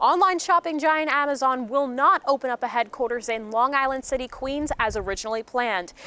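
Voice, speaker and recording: Her voice is high-pitched, raised and projected, with a bright, sharp tone. This woman talks at a fairly quick pace with hardly any pauses, in a dry, close sound with no echo. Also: ordinary pitch variation. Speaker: news anchor and reporter. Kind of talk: TV news anchor read.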